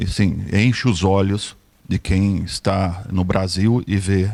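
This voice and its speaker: A man with a São Paulo accent speaks in a fairly low pitch, with a dry, close sound with no echo and a very clean recording with a silent background. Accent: São Paulo Brazilian. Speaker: audience member asking question. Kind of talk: audience question.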